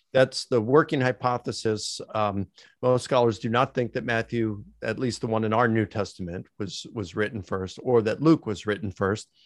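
In a very clean recording with a silent background and a dry, close sound with no echo, a man with an American accent uses an unremarkable speaking voice at a medium pitch, a moderate pace and ordinary pitch variation. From Baltimore, Maryland, US. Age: 60s. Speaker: theology professor. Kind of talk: interview about biblical scholarship.

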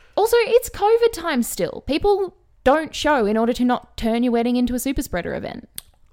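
A woman talks at a fairly quick pace in a high voice. Her pitch swings very widely. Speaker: podcast co-host. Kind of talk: casual chat. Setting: home recording with dogs.

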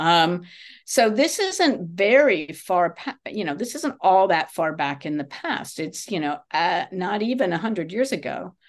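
With a plain, everyday voice, a woman speaks at a medium pitch and a fairly slow pace, her intonation lively against a quiet background. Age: 60s. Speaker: English teacher. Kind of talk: casual chat.

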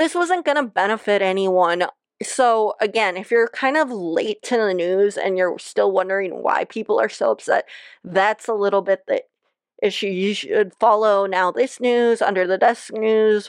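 Dry and close with no echo, a woman with a plain, everyday voice and a fairly high pitch speaks at a moderate pace with ordinary pitch variation. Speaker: podcast host. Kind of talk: casual solo commentary.

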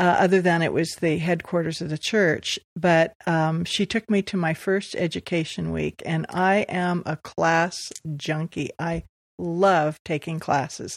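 A woman with an American accent and an unremarkable speaking voice, fairly low in pitch and fairly slow, with ordinary pitch variation, a dry, close sound with no echo and a quiet background. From US West Coast, Los Angeles. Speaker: church member sharing faith story. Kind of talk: testimony. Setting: living room.

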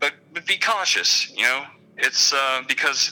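A man speaks at a moderate pace. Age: 30s. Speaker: online support group moderator. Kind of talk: casual interview.

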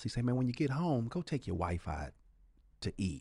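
At a moderate pace, a man speaks with vocal fry and a dark, mellow tone against a quiet background. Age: 50s. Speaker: touring comedian. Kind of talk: casual chat.

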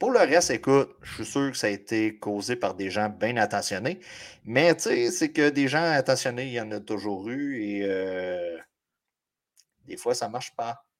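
In a Quebec accent, a man speaks fairly slowly at a medium pitch with lively intonation, on a very clean recording with a silent background. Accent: Québécois French. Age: 40s. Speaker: fantasy football podcast co-host. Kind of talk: casual chat.

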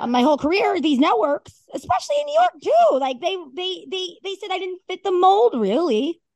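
A woman with a New Jersey accent, extremely high pitch, an animated tone, lively intonation and a fairly quick pace. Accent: Northeastern US, New Jersey. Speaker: sports and collectibles personality, narrator. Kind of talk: casual chat.

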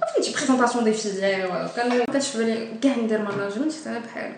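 Speech at a very fast pace with ordinary pitch variation comes through noticeable background noise and audible room echo. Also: woman. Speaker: student podcast host. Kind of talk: casual interview. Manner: halting.

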